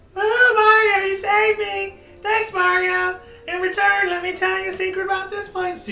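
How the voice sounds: A woman's squeaky, put-on character voice at an extremely high pitch, moderately paced, with audible echo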